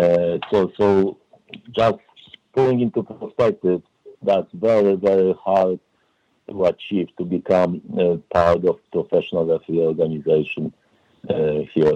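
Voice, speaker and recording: A man speaks at a fairly slow pace with very even loudness. His speech has long, frequent pauses. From Poland. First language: Polish. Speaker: referee development director. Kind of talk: interview. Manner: hesitant, many fillers.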